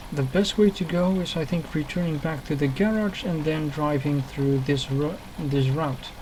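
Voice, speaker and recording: Noticeable background noise sits behind a speaker with a non-native accent who talks at a moderate pace with hardly any pauses. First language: not English. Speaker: gaming video creator. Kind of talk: let's play tutorial commentary. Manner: halting, with fillers and self-corrections.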